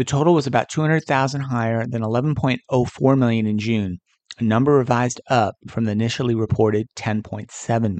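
A man with an American accent and a plain, everyday voice speaks at medium pitch and a fairly quick pace with ordinary pitch variation, in a dry, close sound with no echo. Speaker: podcast host. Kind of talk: news reading. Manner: formal; brisk, even-paced.

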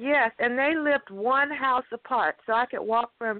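A woman speaks at a fairly slow pace with an American accent. Her pitch is high, with ordinary pitch variation. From Texas (Cameron). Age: 60s. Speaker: guest family member. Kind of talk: phone interview, family stories. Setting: phone call.

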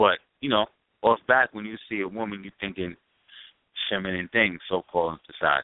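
A man talks at a moderate pace with long, frequent pauses. His voice is fairly low, with ordinary pitch variation. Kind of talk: casual chat.

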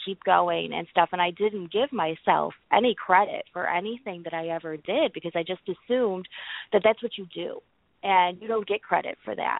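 An unremarkable speaking voice at a moderate pace. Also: woman. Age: 30s. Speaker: person in recovery, social work student. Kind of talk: casual chat.

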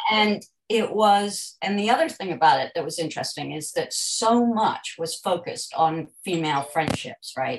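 A woman with an American accent talks at a medium pitch with hardly any pauses. Her somewhat breathy voice makes very wide pitch swings. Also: moderate pace. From United States. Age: 70s. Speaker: debut novelist and journalist. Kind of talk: casual interview chat. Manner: energetic.

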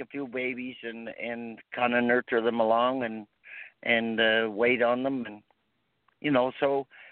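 A man speaks fairly slowly, his voice sitting at a medium pitch. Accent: Maritime Canadian. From Prince Edward Island, Canada. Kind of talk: casual interview. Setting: phone call.

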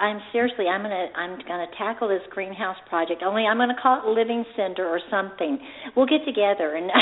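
Over noticeable background noise, a woman talks very fast at medium pitch with ordinary pitch variation. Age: 50s. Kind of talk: interview. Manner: animated.

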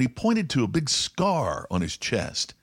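A man with an American accent talks at a fairly quick pace, with vocal fry and very wide pitch swings. The recording is very clean, with a silent background. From US Midwest, rural Indiana. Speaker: podcast host, business speaker. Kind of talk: storytelling monologue; business talk.

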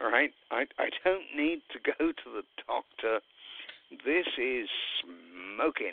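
Speaking with a British accent, a man uses a fairly high voice with very wide pitch swings, going at a very slow pace with long, frequent pauses. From Great Britain. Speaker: radio host. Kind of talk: casual chat.

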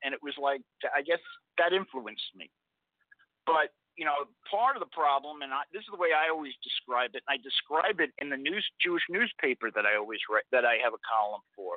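A man with an unremarkable speaking voice and a fairly high pitch talks at a fairly quick pace. His intonation is lively, with big swings in loudness. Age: 60s. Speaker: blog editor. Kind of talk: political interview.

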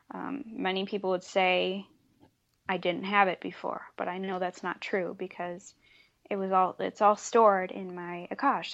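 Moderate pace and fairly even intonation over a quiet background. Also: woman. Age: 20s. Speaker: author. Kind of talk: interview.

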